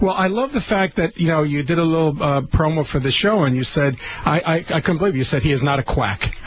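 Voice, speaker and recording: With lively intonation and a fairly high pitch, a man talks at a very fast pace. Noticeable background noise sits behind him. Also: very even loudness. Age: 50s. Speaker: urologist. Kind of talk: casual chat.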